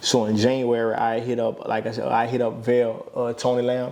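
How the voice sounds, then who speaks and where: A man with an American accent at a medium pitch, over noticeable background noise. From Louisiana, Opelousas. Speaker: former college athlete. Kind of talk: casual podcast interview. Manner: relaxed, filler-heavy.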